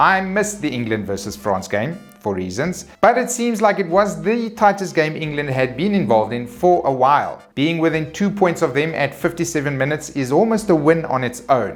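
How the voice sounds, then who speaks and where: With music in the background, a man talks at a fairly high pitch with very wide pitch swings. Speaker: rugby commentator / vlogger. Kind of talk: casual talk to camera, weekly sports news roundup.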